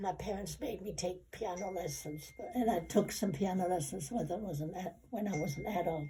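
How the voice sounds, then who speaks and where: A woman of medium pitch with ordinary variation, at a moderate pace, over noticeable background noise. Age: 80s+. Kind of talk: interview answer.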